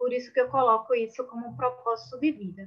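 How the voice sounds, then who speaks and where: This woman talks at a moderate pace in a fairly high pitch. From Brazil, Pernambuco (Paulista, Recife area). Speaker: webinar speaker, business administrator. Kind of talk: webinar presentation. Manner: animated.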